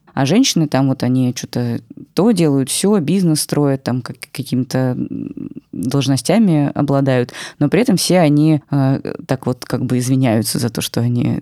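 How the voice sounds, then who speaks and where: A woman speaks with a very deep, low pitch and a dark, mellow tone. Her pitch varies in an ordinary way, and the sound is dry and close with no echo. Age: 30s. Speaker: podcast producer and former business journalist. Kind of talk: casual chat.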